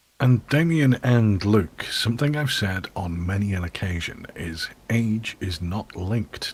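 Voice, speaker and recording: Somewhat breathy, a man with a fairly low pitch talks at a fairly slow pace with lively intonation. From England. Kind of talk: casual chat.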